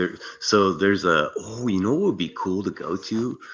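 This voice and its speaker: The speaker has a Californian accent. The pace is fairly slow. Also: man. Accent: California. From US West Coast, San Francisco Bay Area. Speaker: content creator, explorer. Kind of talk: casual chat. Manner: laid-back, casual slang.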